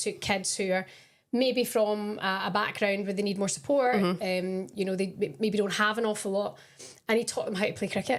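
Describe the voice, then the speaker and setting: In a Scottish accent, a woman at medium pitch speaks with fairly even intonation. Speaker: professional footballer. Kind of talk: casual podcast chat.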